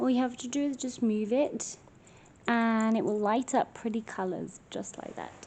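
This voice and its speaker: Someone whispers quietly in an English accent at a moderate pace. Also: woman. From England. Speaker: paranormal investigator vlogger. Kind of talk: paranormal investigation vlog, calling out to spirits. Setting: hotel room at night. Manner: whispering, quiet.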